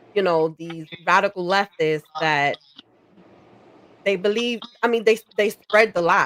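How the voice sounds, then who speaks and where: The sound is dry and close with no echo as a woman speaks fairly slowly at a medium pitch. Her voice shows ordinary pitch variation, broken by long, frequent pauses. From New York (Bronx), Puerto Rican family. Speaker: political commentary streamer. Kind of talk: casual chat. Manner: halting, many fillers.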